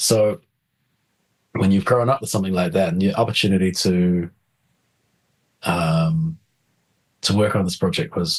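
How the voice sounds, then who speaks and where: With a New Zealand accent, a man speaks in a fairly low voice with lively intonation and long, frequent pauses. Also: moderate pace. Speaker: film composer. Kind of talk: interview. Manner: animated, hesitant with many repetitions.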